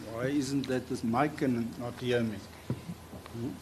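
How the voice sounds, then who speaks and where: Recorded with audible room echo, a man talks at a fairly slow pace with a medium pitch and ordinary pitch variation. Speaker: prosecutor cross-examining witness. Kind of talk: courtroom cross-examination. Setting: courtroom. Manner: soft-spoken.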